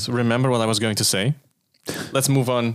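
At a fairly quick pace, a man talks at a medium pitch in an ordinary speaking voice. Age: 30s. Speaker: car podcast host. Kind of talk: casual chat.

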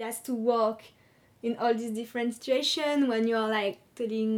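A woman talks in a French accent at a fairly high pitch. Her pace is moderate and her intonation monotone and flat. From France. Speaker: secondary school teacher. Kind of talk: interview.

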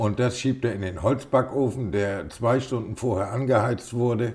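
A somewhat breathy man talks at a fairly slow pace. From northern Germany, Schleswig-Holstein. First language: Low German (speaking German). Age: 60s. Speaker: hobby miller. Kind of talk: interview.

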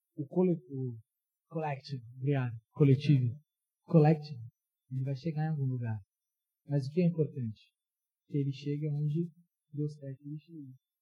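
A man with a fairly high pitch and a dark, mellow, somewhat breathy tone talks at a moderate pace with fairly even intonation. His loudness swings widely, and he leaves long, frequent pauses. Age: 20s. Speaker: youth pastor. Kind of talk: sermon. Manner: casual, interactive.

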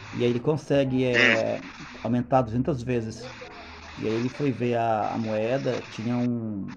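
A man's medium-pitched voice at a fairly slow pace, fairly even intonation, and noticeable background noise. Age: 40s. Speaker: podcast guest. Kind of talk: casual chat.

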